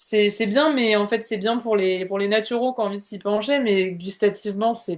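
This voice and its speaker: A woman talks at a moderate pace with hardly any pauses. Her voice is medium-pitched, and her intonation is fairly even. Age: 30s. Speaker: naturopath, former student giving testimonial. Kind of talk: interview testimonial. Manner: hesitant, many fillers and repetitions.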